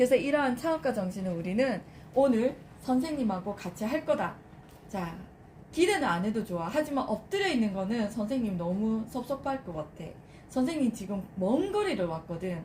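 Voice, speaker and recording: A woman's fairly high, animated voice with very wide pitch swings over noticeable background noise. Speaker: lead instructor training lecturers. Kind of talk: training session with role-play demonstration. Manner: animated, addressing a group.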